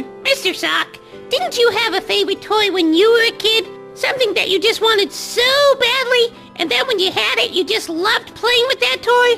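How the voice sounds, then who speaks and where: A put-on character voice goes at a moderate pace. Clear music plays in the background. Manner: playful, teasing.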